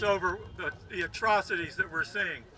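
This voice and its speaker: A man's raised, projected voice, high in pitch, bright and sharp in tone, at a moderate pace. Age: 80s+. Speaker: protest speaker. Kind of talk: rally speech.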